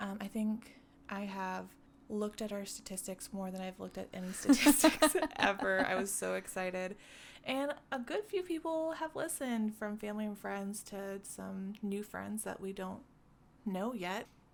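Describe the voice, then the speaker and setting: A woman talks at a medium pitch and a moderate pace. Her intonation is lively. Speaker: podcast co-host. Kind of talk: casual podcast conversation.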